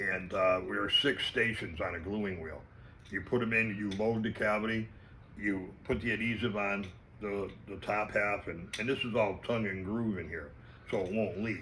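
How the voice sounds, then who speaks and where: Audible room echo surrounds a man whose fairly low voice has a bright, sharp tone and fairly even intonation. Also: moderate pace. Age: 60s. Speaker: fishing lure maker. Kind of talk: casual interview.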